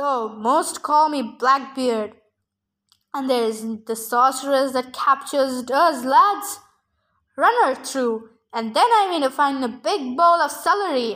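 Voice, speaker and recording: A woman's put-on character voice, growling and menacing in tone, high in pitch, at a fairly slow pace. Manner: growling, menacing.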